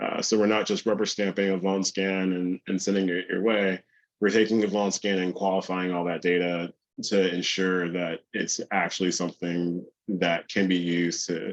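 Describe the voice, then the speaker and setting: Against a quiet background, a man talks in a very deep, low voice with flat, monotone intonation. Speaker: cybersecurity conference speaker. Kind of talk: conference presentation. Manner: fast.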